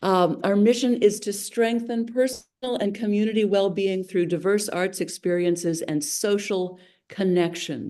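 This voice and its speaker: With a dark, mellow tone and ordinary pitch variation, the voice runs on with hardly any pauses over a quiet background. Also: woman, medium pitch for a woman, moderate pace. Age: 70s. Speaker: arts nonprofit board chair. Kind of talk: legislative committee testimony.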